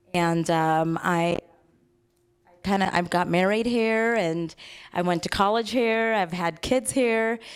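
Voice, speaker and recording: Very slow and marked by long, frequent pauses, a woman's speech in a General American accent holds very even loudness on a very clean recording with a silent background. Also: medium pitch for a woman, ordinary pitch variation. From Los Angeles, US (from Fiji at eight). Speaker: TV personality. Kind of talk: interview with live audience.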